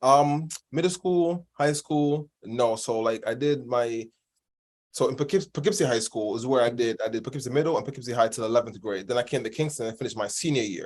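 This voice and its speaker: On a very clean recording with a silent background, a man of medium pitch speaks at a fairly quick pace with ordinary pitch variation. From Jamaica, moved to New York state at 14. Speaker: personal trainer. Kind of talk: podcast interview. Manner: casual, filler-heavy.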